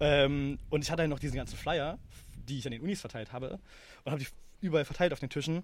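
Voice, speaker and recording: Though he moves at a very fast pace, this fairly high-pitched man leaves long, frequent pauses and uses ordinary pitch variation. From Germany, Berlin. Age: 20s. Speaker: startup founder. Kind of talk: interview. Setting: in person recording.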